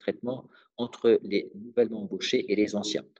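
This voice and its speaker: A man is speaking here. His tone is dark and mellow. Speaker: legal trainer. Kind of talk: webinar presentation. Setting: online webinar. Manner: fast; hesitant, many fillers.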